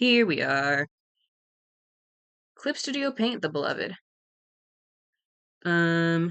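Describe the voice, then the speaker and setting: A woman's fairly low voice at a very slow pace, with very wide pitch swings and long, frequent pauses. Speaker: streamer drawing art. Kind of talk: casual livestream chat. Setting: home livestream. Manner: casual, hesitant with many ums.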